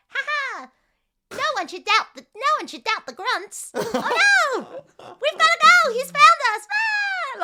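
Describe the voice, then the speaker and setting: A put-on character voice at an extremely high pitch, fairly slow in pace. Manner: panicky, comic.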